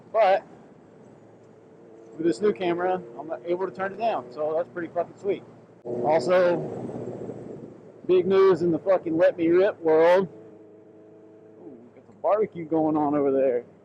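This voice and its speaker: Amid noticeable background noise, a man with a high voice speaks at a moderate pace, with ordinary pitch variation, big swings in loudness, and long, frequent pauses. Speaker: motorcycle vlogger. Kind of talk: casual riding vlog commentary. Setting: riding a motorcycle, helmet POV.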